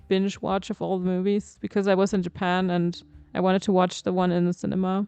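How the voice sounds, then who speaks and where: A woman with a German accent talks at a medium pitch in a dark, mellow tone. Her delivery is fairly quick and monotone, flat in intonation, with a dry, close sound and no echo. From Germany. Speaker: video game streamer. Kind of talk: casual chat.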